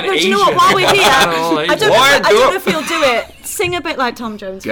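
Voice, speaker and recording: A woman with a Liverpool accent speaks in a raised, projected voice at a high pitch, with very wide pitch swings. Her pace is moderate, with noticeable background noise behind her. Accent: Liverpool (Scouse). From Liverpool, England. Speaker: podcast guest.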